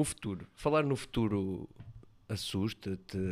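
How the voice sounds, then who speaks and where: Here a man speaks at a fairly slow pace. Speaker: student podcast host. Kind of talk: interview.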